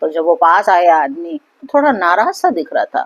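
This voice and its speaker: Her pitch swings very widely as a woman speaks at a moderate pace, recorded dry and close with no echo. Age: 60s. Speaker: motivational speaker. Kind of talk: motivational talk with story.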